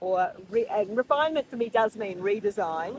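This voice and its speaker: A woman speaks with an Australian accent at a moderate pace. Her fairly high pitch moves in very wide swings. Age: 60s. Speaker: vlogger. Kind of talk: monthly reflection vlog. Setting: outdoors at the beach rocks. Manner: casual, with fillers.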